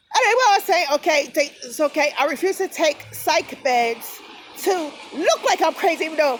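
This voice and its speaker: Loud and animated, a woman speaks at a high pitch with very wide pitch swings. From New Jersey, US. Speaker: vlogger. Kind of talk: rant.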